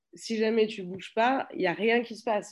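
At a fairly quick pace, a woman speaks. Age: 30s. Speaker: startup founder. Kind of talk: interview. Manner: halting.

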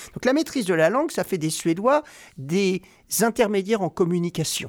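On a very clean recording with a silent background and a dry, close sound with no echo, a man speaks at a moderate pace with a high pitch. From Normandy, France. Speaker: investment banker. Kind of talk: interview.

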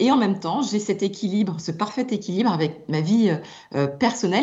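A woman speaks at a medium pitch with very wide pitch swings and a somewhat breathy voice. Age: 50s. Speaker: communications executive. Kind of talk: radio interview.

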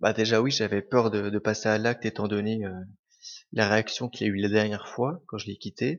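Fairly quick in pace and fairly even in intonation, an unremarkable speaking voice carries the words. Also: man, fairly low pitch for a man. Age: 20s. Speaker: restaurant manager. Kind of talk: testimony.

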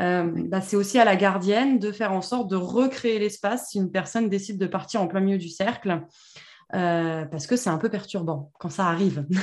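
A woman speaks in an ordinary speaking voice at medium pitch. Her pace is moderate and her pitch varies in an ordinary way. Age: 30s. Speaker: podcast host, women's circle facilitator. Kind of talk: casual conversation.

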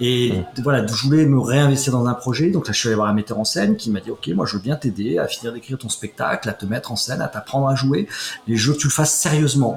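Very fast speech from a man of medium pitch with ordinary pitch variation, over noticeable background noise. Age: 50s. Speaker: comedian and former finance executive. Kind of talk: interview. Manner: halting.

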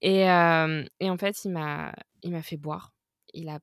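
A woman has an unremarkable speaking voice, fairly low in pitch, with ordinary pitch variation. The very clean recording has a silent background and a dry, close sound with no echo. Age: 30s. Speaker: tour and merch manager. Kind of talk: casual chat.

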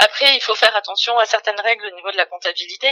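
A woman's fairly high voice, very fast in pace, with fairly even intonation. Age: 40s. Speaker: HR director. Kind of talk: interview.

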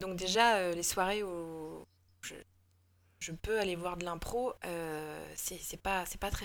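Her pitch fairly low and her intonation fairly even, a woman speaks at a very slow pace. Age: 40s. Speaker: improv actor. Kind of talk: casual interview. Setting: remote call.

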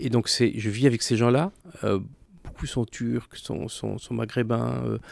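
Fairly slow and dry, close with no echo, a man talks at medium pitch with ordinary pitch variation and a dark, mellow tone. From France, Clermont-Ferrand. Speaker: entrepreneur, consultancy co-founder. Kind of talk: interview.

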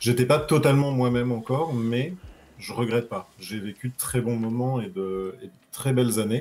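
A man's medium-pitched voice at a moderate pace with ordinary pitch variation, an ordinary speaking voice. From southern France, Nice. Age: 30s. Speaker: interview guest sharing coming-out story. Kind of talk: casual interview.

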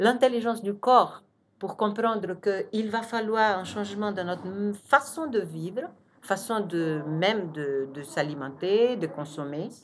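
A woman's medium-pitched voice at a very slow pace, with big swings in loudness and lively intonation. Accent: Portuguese. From Brazil. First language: Portuguese (speaking French). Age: 50s. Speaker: architect and urban planner. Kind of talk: interview.

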